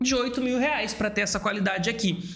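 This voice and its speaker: A man's extremely high voice at a fairly quick pace, with audible room echo and noticeable background noise. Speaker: YouTube creator coach. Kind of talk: commentary reacting to video clips. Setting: home studio with camera setup. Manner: fast, occasionally stumbling speech.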